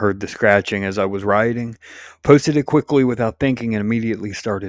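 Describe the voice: Someone does a plain reading aloud, the pitch rising and falling by ordinary amounts.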